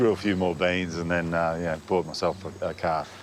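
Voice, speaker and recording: A man with an Australian accent and a relaxed tone, music playing in the background. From Tweed Heads, northern New South Wales, Australia. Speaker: gardening TV presenter. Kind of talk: personal story to camera. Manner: relaxed, casual.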